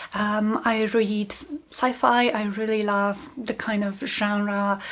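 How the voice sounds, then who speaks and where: A woman speaks very slowly with a Polish accent, her fairly high voice keeping a fairly even intonation. Noticeable background noise runs underneath. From Poland. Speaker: book channel host, small business owner. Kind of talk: casual vlog talk to camera.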